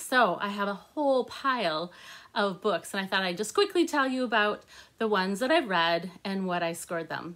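A woman with a bright, sharp tone and lively intonation, at a fairly slow pace against a quiet background. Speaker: book reviewer. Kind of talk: casual vlog chat. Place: home room. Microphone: phone near.

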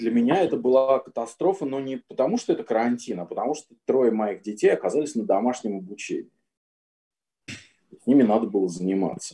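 Against a quiet background, a man speaks in a dark, mellow tone at a fairly quick pace with lively intonation. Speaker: composer. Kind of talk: online panel discussion. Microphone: video call.

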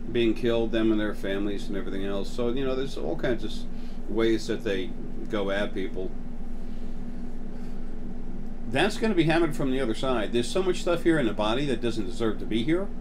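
A man's speech comes at a fairly quick clip, with noticeable noise in the background. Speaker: channel host talking about spiritual topics. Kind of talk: casual monologue. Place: home room. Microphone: phone near.

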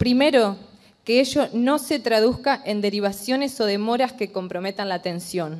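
Over a quiet background, a woman with fairly high pitch speaks at a moderate pace. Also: ordinary pitch variation. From Argentina, Entre Ríos (Concordia); Entre Ríos, Argentina. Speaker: general practitioner doctor, activist. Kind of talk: formal speech to a legislative committee. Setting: committee hearing room. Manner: formal. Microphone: podium.

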